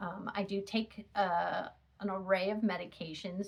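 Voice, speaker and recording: A woman speaks at a fairly slow pace in a somewhat breathy voice. Her intonation stays monotone and flat. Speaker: chronic illness vlogger. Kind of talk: personal testimony. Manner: halting, many fillers.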